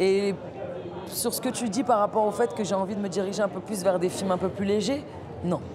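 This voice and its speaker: Over noticeable background noise, a woman with a medium pitch speaks in an animated tone at a moderate pace, leaving long, frequent pauses. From Paris suburbs (banlieue), France. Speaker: actress. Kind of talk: interview. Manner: animated, with frequent repetitions.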